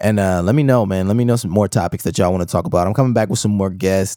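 This man has a fairly low voice with lively intonation. The sound is dry and close, without any echo. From Milwaukee, Wisconsin. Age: 30s. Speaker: podcast host, video editor. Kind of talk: solo podcast rant. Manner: casual, conversational.

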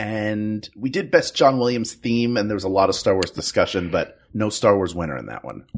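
A man with a fairly low pitch speaks at a moderate pace, his pitch varying in an ordinary way, and has an unremarkable speaking voice. He hardly pauses, and his loudness swings widely. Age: 40s. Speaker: improviser and voice actor. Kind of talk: casual chat.

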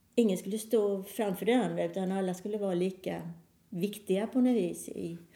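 At a moderate pace, a woman speaks with a dark, mellow tone and fairly even intonation. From Sweden, Halmstad. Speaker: pianist and electronic musician. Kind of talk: casual interview.

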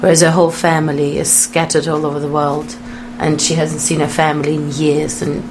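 Against noticeable background noise, a woman with a very deep, low pitch talks at a fairly quick pace. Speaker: actor. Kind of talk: radio interview chat.

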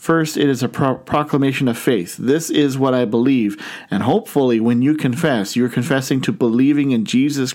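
The voice here reads in an unforced way.

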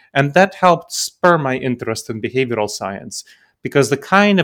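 In a plain, everyday voice, a man talks at a moderate pace with lively intonation on a very clean recording with a silent background. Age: 40s. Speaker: decision-making consultant and author. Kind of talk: interview.

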